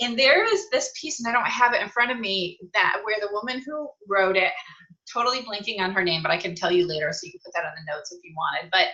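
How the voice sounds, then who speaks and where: A woman with an American accent talks very fast at a medium pitch, her intonation lively and her loudness swinging widely. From upstate New York. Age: 50s. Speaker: author and consultant. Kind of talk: interview.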